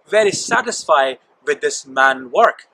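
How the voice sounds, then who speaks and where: Loud background noise surrounds the recording. A man speaks at a fairly slow pace. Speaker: church minister. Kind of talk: sermon storytelling. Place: forest.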